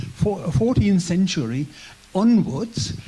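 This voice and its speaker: A man with a German accent, high-pitched and very slow, his pitch swinging very widely, over noticeable background noise. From German community in Poland. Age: 70s. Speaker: church guest speaker. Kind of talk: testimony. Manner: halting; gentle.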